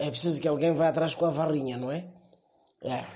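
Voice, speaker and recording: The voice has a Mozambican accent. Its pace is fairly quick. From Mozambique. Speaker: comedy columnist. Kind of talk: comedic monologue.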